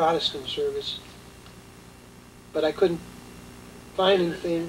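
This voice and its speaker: Amid noticeable background noise, a man speaks at a high pitch in a flat monotone. His pace is moderate, broken by long, frequent pauses. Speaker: war veteran. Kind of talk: testimony. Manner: halting.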